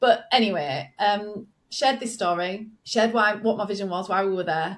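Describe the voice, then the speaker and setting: Speaking in a northern English accent, a woman talks at a moderate pace with a medium pitch and ordinary pitch variation. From northern England. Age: 40s. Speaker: business coach. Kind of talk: podcast interview. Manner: animated.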